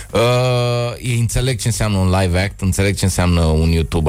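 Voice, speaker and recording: Against noticeable background noise, a man talks at a fairly quick pace in a fairly low pitch. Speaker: comedian. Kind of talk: casual chat.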